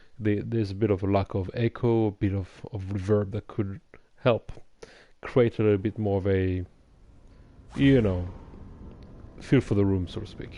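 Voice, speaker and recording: A man's fairly low, dark, mellow voice with a non-native accent, fairly even intonation, a moderate pace and long, frequent pauses, over a quiet background. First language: not English. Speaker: gaming streamer. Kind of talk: let's play commentary. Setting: livestream. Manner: halting.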